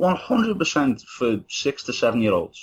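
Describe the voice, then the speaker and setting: A man's high voice with a Liverpool accent and very wide pitch swings. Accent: Scouse (Liverpool). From Liverpool, England. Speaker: university student and former soldier. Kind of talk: casual chat.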